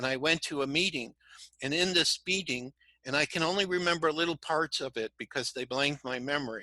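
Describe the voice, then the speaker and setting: With a bright, sharp tone and fairly high pitch, a man talks at a fairly quick pace with ordinary pitch variation, the sound dry and close with no echo over a quiet background. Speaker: crystal skull researcher and spiritual speaker. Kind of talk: interview. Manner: fast.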